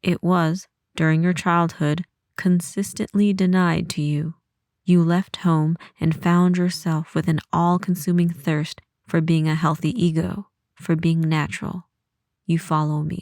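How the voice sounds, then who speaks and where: A woman with an American accent, fairly low in pitch, monotone with flat intonation, at a fairly slow pace. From United States. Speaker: audiobook narrator. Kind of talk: horror story audiobook reading.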